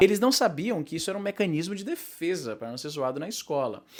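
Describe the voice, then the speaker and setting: Over noticeable background noise, the speech rushes at a very fast pace with big swings in loudness and very wide pitch swings. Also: man. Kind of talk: casual talk to camera. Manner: fast, rambling.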